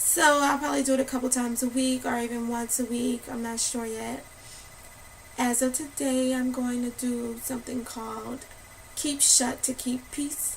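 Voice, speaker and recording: A woman speaks in a high, monotone voice with flat intonation at a moderate pace over noticeable background noise. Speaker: spoken word poet. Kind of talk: casual talk to camera.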